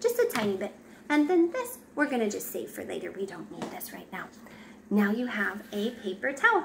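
A woman speaking at a fairly quick pace, with noticeable background noise. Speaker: parent demonstrating a craft. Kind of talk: tutorial. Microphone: phone near.

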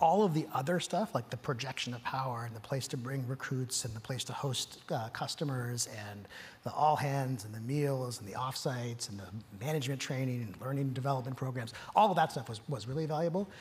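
A man talks at a fairly quick pace, somewhat breathy, with ordinary pitch variation. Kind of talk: interview answer. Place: stage. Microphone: lapel.

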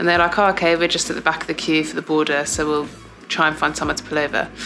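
Over clear music in the background, a woman with a fairly low pitch talks at a very fast pace with fairly even intonation. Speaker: athlete vlogger. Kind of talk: casual vlog chat. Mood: amused, self-deprecating. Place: home room. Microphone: phone near.

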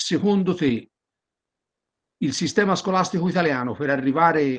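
Against a quiet background, a man speaks with lively intonation at a moderate pace. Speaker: audience member asking questions; audience member. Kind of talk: Q&A question. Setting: video call. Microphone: video call.

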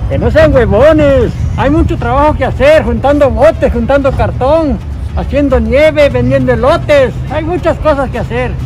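The speaker is a man. He talks at a moderate pace while clear music plays behind him. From Puebla, Mexico. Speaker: ice cream street vendor. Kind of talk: interview answer. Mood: firm, exhorting. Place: street.

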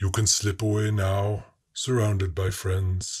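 In a put-on character voice, a man speaks fairly slowly at a fairly low pitch with a calm tone and monotone, flat intonation, on a very clean recording with a silent background. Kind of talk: solemn incantation. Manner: calm, grave, unhurried.

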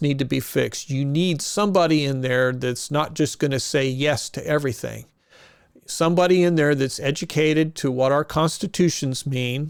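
A man with a Midwestern US accent at a moderate pace. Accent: US Midwest. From Kansas. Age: 60s. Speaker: political candidate. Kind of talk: campaign interview. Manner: casual, halting with self-corrections.

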